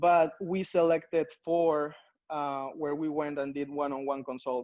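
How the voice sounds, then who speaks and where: A man's fairly high voice in a Spanish accent, fairly slow, with ordinary pitch variation. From Peru. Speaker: strategy consultant. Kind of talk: conference talk. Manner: hesitant, many fillers.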